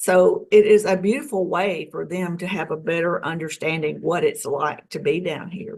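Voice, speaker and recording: A woman with a plain, everyday voice and an American accent talks at a moderate pace with hardly any pauses, a fairly low pitch, ordinary pitch variation and big swings in loudness. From US South. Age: 60s. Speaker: UFO experiencer. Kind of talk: interview.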